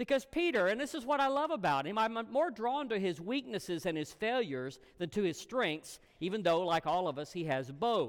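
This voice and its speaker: A high-pitched man at moderate pace, with very wide pitch swings, on a very clean recording with a silent background. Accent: Southern US. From US South, Alabama. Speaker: guest preacher. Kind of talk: sermon.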